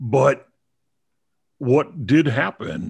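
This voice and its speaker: A man with an American accent speaks with lively intonation and vocal fry on a very clean recording with a silent background. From Texas, Dallas. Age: 50s. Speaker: film critic and podcast host. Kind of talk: casual interview chat.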